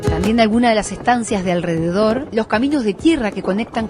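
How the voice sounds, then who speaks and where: With music in the background, a woman talks at a very fast pace, her fairly high pitch carried by lively intonation. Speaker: radio/streaming host and professional announcer. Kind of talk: documentary-style regional travel narration to camera.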